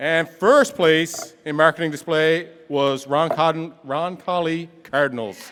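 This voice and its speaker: A man with a somewhat high voice talks rather slowly, his pitch moving in a normal way, while background noise is clearly heard. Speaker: competition emcee. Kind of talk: awards ceremony announcing. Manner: animated.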